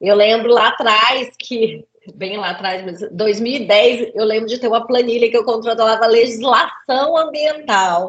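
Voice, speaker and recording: Hardly pausing at all, a woman speaks at a fairly slow pace with a fairly high pitch and ordinary pitch variation. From Brazil, Center-West (Cuiabá, Goiânia). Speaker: safety and environmental engineer, lecturer. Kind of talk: interview.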